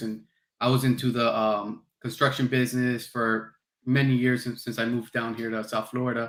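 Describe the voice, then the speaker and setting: A man with an American accent, medium pitch and moderate pace, in a plain, everyday voice. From New Jersey. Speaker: podcast host, reptile breeder. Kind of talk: podcast interview.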